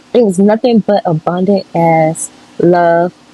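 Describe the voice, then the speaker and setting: A woman's fairly low voice at a very slow pace, with ordinary pitch variation and noticeable background noise. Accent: American. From US South, Louisiana (Monroe). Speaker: tarot reader, spiritual channeler. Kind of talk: casual spiritual reading monologue. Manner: casual, halting with filler words.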